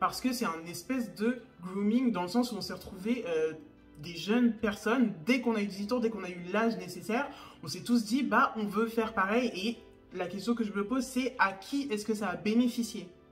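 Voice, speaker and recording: A woman at a fairly high pitch with ordinary pitch variation, a moderate pace, and music in the background. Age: 20s. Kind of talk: casual talk to camera.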